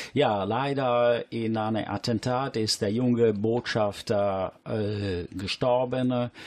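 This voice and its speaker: A man with an Italian accent speaks at a very slow pace with hardly any pauses. His pitch is medium and his intonation fairly even. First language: Italian (speaking German). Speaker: radio host. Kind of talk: casual chat. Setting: studio.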